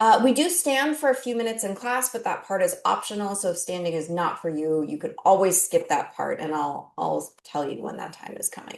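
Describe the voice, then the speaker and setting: A woman talks at a fairly quick pace with hardly any pauses. Her loudness swings widely. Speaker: chair yoga and functional fitness instructor. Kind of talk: online chair yoga class instruction. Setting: video call class.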